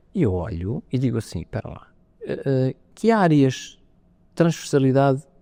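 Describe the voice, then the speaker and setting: A man with a European Portuguese accent, dark, mellow tone and very wide pitch swings, in a dry, close sound with no echo. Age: 60s. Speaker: space agency head. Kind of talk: interview. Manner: hesitant, with many fillers and restarts.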